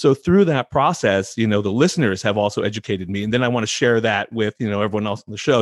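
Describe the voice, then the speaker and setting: The speaker talks at a very fast pace with a Californian accent. The recording is very clean, with a silent background. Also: man. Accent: Californian American. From California, San Francisco Bay Area. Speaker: physician and podcast host. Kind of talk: interview.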